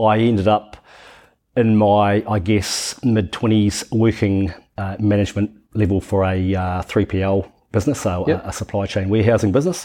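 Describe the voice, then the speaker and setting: A man speaks with a New Zealand accent at a fairly low pitch. His tone is dark and mellow, and the background is quiet. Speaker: software company founder. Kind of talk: casual interview.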